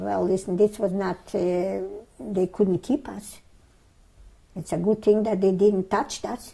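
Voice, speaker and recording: A woman speaks with a dark, mellow tone. Vocal fry runs through her voice. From Lithuania, Vilnius. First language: Yiddish. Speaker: Holocaust survivor. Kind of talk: oral history interview. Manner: halting.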